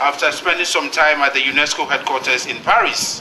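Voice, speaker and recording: The speaker has a Ghanaian accent, and noticeable background noise runs underneath. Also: man. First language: Ghanaian language. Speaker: UN agency director. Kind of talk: formal speech. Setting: exhibition launch event with audience.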